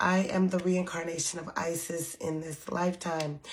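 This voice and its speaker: A woman's fairly low, monotone voice with flat intonation at a fairly slow pace, with noticeable background noise. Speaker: spiritual content creator. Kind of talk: casual vlog monologue.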